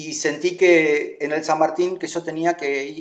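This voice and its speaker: A man is speaking. His pitch is high. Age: 60s. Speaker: choreographer. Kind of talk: interview.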